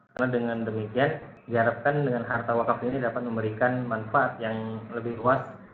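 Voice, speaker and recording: A man with a medium pitch talks at a moderate pace in a monotone, flat intonation, with audible room echo. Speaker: lecturer. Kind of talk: online lecture. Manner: soft-spoken.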